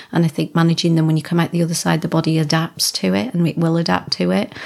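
Talking at a very fast pace, a woman has a slight Lancashire accent. Her pitch is fairly low, with ordinary variation. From Wigan, Lancashire. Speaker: bodybuilder and gym owner. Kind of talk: casual interview chat.

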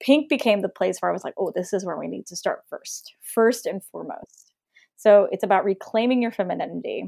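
A woman at a fairly quick pace with big swings in loudness, in a dry, close sound with no echo. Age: 30s. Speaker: color intuitive. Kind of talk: casual chat.

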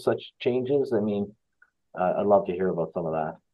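Speaking fairly quickly, a man talks. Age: 60s. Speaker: podcast host. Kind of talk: interview conversation; scripted introduction. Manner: halting, many fillers.

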